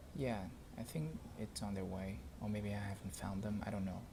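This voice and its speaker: A man is speaking. He has a non-native accent. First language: not English. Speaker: tech reviewer. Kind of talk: tutorial. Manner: halting; casual.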